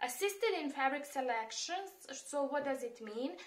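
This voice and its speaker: In a Serbian accent, a woman speaks with a high pitch. Her pace is fairly slow. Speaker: immigration and job-search advisor. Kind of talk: tutorial. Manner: hesitant, many fillers.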